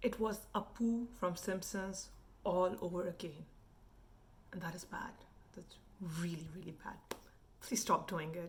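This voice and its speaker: Fairly slow, somewhat breathy speech in an Indian accent, with long, frequent pauses, big swings in loudness and ordinary pitch variation. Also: woman, medium pitch for a woman. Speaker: food and travel vlogger. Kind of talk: casual commentary rant.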